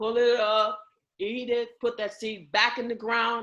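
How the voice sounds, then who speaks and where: The tone is bright, sharp and animated. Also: woman. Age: 70s. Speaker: community group leader. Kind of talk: group meeting talk.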